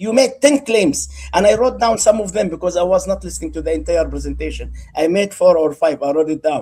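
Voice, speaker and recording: A man with an Arabic accent at a fairly quick pace. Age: 60s. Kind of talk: heated debate.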